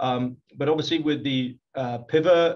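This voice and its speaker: A man in a British accent, fairly slow and monotone, with flat intonation. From UK. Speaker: company technology executive. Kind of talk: business presentation. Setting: video call. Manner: halting, many fillers.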